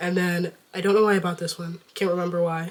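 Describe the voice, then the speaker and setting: A woman's fairly low-pitched voice with monotone, flat intonation. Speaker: beauty vlogger. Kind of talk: casual vlog talk to camera. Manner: casual, rambling, self-correcting.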